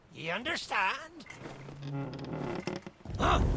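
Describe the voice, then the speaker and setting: A gruff put-on character voice, very slow in pace, with sound effects in the background. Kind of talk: theatrical pirate speech. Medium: video game. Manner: gruff pirate speech.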